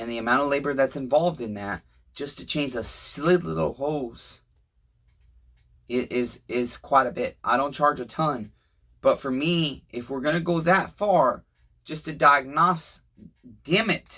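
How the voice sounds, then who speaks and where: In a very clean recording with a silent background, a man with a fairly high voice and a bright, sharp tone speaks at a fairly slow pace, with ordinary pitch variation, big swings in loudness, and long, frequent pauses. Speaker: small engine repairman. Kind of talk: repair tutorial. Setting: workshop. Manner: slurred words; casual, rambling.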